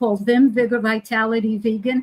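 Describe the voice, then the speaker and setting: Fairly high in pitch and somewhat breathy, a woman speaks with a dry, close sound and no echo. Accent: American. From New York. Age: 80s. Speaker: healer and teacher. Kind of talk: casual interview.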